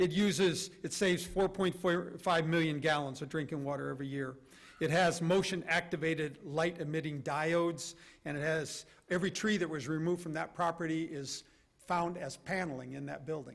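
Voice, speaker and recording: A man talks at a fairly quick pace in a normal speaking voice. His pitch is fairly high and his intonation fairly even. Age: 60s. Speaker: army leader speaking on a panel. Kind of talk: conference presentation. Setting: stage with audience. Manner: casual and conversational.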